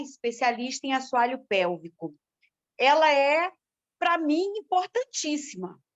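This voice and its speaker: The woman's intonation is lively. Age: 60s. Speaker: dance group participant. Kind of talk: casual chat.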